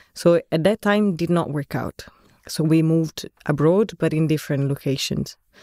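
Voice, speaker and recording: Speaking in an Italian accent at a moderate pace, the voice has a dark, mellow tone and fairly even intonation. The sound is dry and close, with no echo. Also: woman, very deep, low pitch for a woman. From Italy, Florence. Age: 30s. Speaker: architect. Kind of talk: casual chat.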